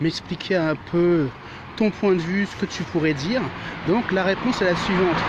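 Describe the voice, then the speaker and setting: Ordinary pitch variation can be heard beneath noticeable background noise. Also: man, high pitch for a man. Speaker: vlogger. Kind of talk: casual vlog talk. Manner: fast.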